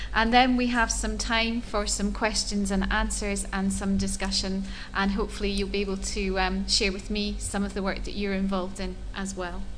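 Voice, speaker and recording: A woman speaks with a Scottish accent amid audible room echo. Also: moderate pace, hardly any pauses. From Scotland. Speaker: educational technology specialist. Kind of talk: conference talk.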